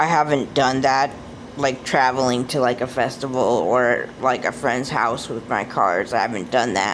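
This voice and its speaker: The speaker has an American accent and a moderate pace, with ordinary pitch variation. Noticeable background noise is present. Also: woman, very deep, low pitch for a woman. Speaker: oracle card deck reviewer. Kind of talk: casual video review. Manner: hesitant, many fillers.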